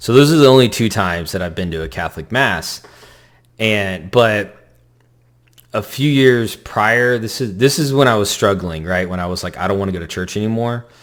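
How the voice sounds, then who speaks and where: A man's plain, everyday voice, fairly low in pitch, with lively intonation and a moderate pace. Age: 40s. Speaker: convert telling faith story. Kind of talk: testimony.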